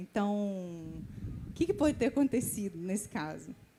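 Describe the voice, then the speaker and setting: Lively intonation marks this woman's speech. She talks at a moderate pace. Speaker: church member asking a question. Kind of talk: testimony. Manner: halting.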